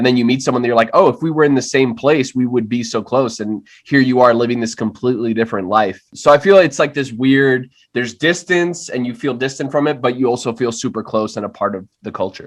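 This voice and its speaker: A very fast talker with an American accent, speaking with hardly any pauses. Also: man, medium pitch for a man, ordinary pitch variation, quiet background. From Miami, Florida (Hialeah). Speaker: writer and actor. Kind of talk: podcast interview. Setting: video call.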